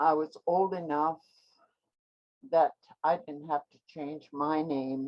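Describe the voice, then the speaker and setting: A woman's very deep, low voice in a Canadian Arctic accent, monotone and flat, at a very slow pace with long, frequent pauses and big swings in loudness. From Nunavut, Canadian Arctic (Inuit). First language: Inuktitut. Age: 70s. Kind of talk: virtual educational talk. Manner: hesitant with many filler words.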